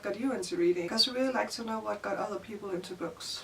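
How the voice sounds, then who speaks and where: Ordinary pitch variation in a Danish accent, with noticeable background noise. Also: woman. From Denmark. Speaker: book youtuber. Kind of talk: casual vlog. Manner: casual, filler-heavy.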